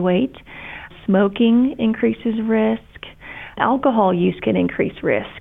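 A woman with an American accent speaks at a fairly slow pace in a fairly high pitch. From Kentucky, US. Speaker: breast surgeon. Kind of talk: casual interview chat, explanatory. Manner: warm, passionate.

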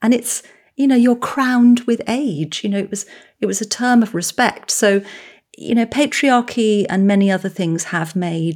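A woman with an English accent, normal pitch movement, and a very clean recording against a silent background. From England. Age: 50s. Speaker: author and psychotherapist. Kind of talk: interview.

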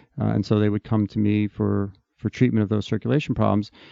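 This man talks fairly quickly. His voice sits fairly low. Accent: New Jersey. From New Jersey. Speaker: bariatric surgeon. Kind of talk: interview. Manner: hesitant with fillers.

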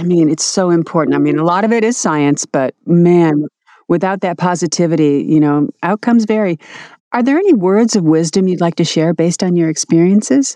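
A woman talks at a fairly quick pace with a fairly low pitch and a dark, mellow tone. Her pitch variation is ordinary, and the sound is dry and close with no echo. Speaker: podcast host. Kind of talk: interview.

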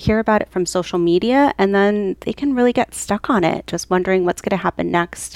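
A woman at a moderate pace, ordinary pitch variation, in a dry, close sound with no echo. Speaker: pediatric psychologist. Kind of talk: interview.

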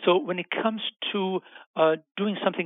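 A man with a German accent talks at a moderate pace. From Germany. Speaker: physician and health researcher. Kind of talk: interview.

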